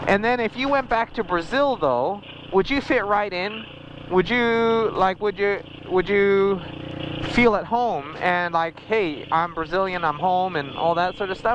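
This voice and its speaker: Over noticeable background noise, a man with a high voice for a man talks at a fairly slow pace with ordinary pitch variation. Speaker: motorcycle vlogger. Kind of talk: casual chat. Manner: halting.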